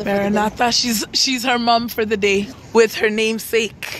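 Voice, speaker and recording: A woman's monotone, flat delivery at a fairly slow pace, dry with no echo, over noticeable background noise. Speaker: vlogger. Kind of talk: casual vlog chat. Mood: playful, laughing. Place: street. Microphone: phone near.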